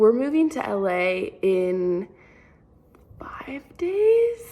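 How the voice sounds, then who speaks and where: A woman's high voice with very wide pitch swings at a very slow pace, over noticeable background noise. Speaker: college dance student and vlogger. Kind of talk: casual vlog. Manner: animated.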